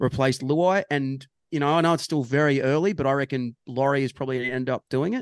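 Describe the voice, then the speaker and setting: Against a quiet background, a man with an Australian accent talks at a fairly quick pace, keeping a medium pitch and fairly even intonation. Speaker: rugby league podcast co-host. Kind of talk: casual sports chat. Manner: jokey.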